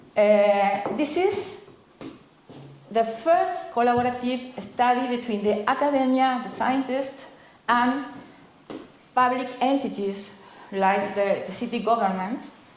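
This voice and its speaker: A woman's high voice with a Uruguayan accent and lively intonation, very slow pace, long, frequent pauses, and audible room echo. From Uruguay, Montevideo. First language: Spanish. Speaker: astronomer, university researcher. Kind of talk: conference talk. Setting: conference presentation. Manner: halting, many fillers and restarts.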